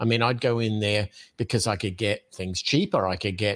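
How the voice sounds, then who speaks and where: A man speaks with an American accent at a moderate pace. The recording is very clean, with a silent background. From Australia, Adelaide. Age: 50s. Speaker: podcast host and entrepreneur. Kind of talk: casual interview chat.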